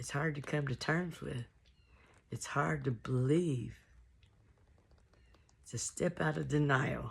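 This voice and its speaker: Very slow and very deep, a woman's voice shows vocal fry and lively intonation, with long, frequent pauses. The recording is very clean, with a silent background. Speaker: musician and artist. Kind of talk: casual talk to camera, personal testimony.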